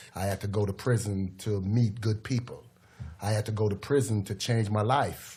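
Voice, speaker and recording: Heard in a very clean recording with a silent background, a man speaks at a moderate pace in a somewhat breathy, dark, mellow voice, fairly low in pitch, with monotone, flat intonation. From Jamaica, Kingston. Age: 50s. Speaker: former prisoner, youth mentor. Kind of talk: podcast interview.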